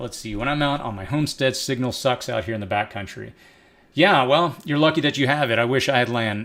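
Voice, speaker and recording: The voice has a bright, sharp tone and an American accent. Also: man. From East Texas. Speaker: prepping channel host, live streamer. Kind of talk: live stream Q&A. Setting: live stream. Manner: casual, conversational.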